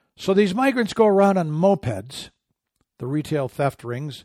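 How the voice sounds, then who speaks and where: A normal speaking voice, a man's with an American accent at a fairly slow pace. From Michigan, small farm town. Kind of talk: radio commentary monologue.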